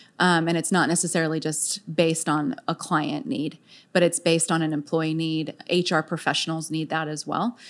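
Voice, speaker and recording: In a very clean recording with a silent background, a woman with an American accent speaks at a moderate pace in an unremarkable speaking voice, her fairly low pitch carried on fairly even intonation. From San Diego, California. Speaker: HR business owner. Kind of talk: interview.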